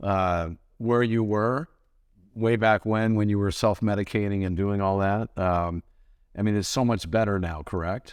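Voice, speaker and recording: A man with an unremarkable speaking voice, fairly low in pitch, at a moderate pace with fairly even intonation, against a quiet background. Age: 60s. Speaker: podcast host. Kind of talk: podcast interview.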